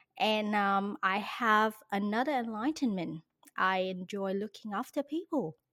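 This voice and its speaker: A woman with a non-native accent, a fairly high pitch, a bright, sharp tone and ordinary pitch variation, at a fairly slow pace, in a dry, close sound with no echo. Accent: foreign-accented English. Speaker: finance YouTuber and investor. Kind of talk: interview conversation. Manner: talkative; laughs often.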